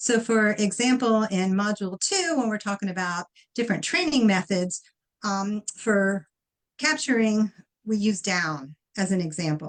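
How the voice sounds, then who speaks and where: A woman's unremarkable speaking voice at a medium pitch and moderate pace, with ordinary pitch variation. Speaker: dog trainer and course instructor. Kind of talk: tutorial. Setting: live stream.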